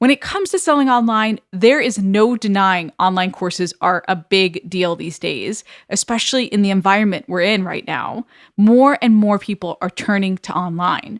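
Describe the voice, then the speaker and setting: Recorded very cleanly against a silent background, this voice with an American accent moves at a moderate pace with ordinary pitch variation and a dry, close sound with no echo. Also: woman, medium pitch for a woman. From New York. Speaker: course creation coach, podcast host. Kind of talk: solo podcast monologue. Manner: direct, upfront.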